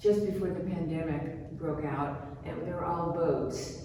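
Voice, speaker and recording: A woman speaks with audible room echo. Noticeable background noise is present. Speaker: painter. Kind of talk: gallery talk.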